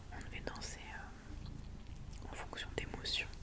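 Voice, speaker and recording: Through noticeable background noise, a woman is whispering. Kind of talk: ASMR poetry reading. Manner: whispered; soft-spoken.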